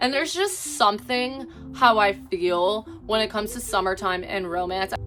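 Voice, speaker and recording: Over noticeable background noise, a woman speaks with lively intonation at a fairly high pitch. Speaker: book content creator. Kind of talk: casual vlog talk. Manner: fast; animated.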